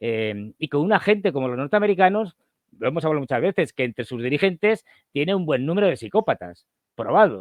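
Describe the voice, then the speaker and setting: Pitched fairly high, a man talks at a fairly quick pace with very wide pitch swings, the sound dry and close with no echo. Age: 60s. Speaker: political analyst. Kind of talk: interview. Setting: livestream call. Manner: hesitant, many fillers.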